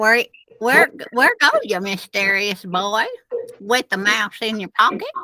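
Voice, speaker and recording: A put-on character voice, female-sounding and fairly high-pitched for a woman, at a fairly slow pace. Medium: read story. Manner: ominous, repetitive.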